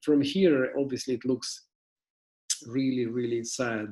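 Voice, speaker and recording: Speaking in an unremarkable speaking voice, a man holds a medium pitch. His intonation is fairly even and his pace moderate. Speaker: interviewer. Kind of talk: casual conversation.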